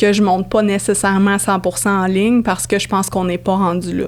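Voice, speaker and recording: At a moderate pace, a woman with a mid-range pitch talks in a monotone, flat intonation. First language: English (speaking French). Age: 30s. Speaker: audio entrepreneur. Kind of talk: podcast interview.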